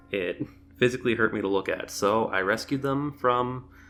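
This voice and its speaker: A man with a medium pitch talks as music runs in the background. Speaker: pokemon card collector youtuber. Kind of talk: casual vlog. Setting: home apartment. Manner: animated.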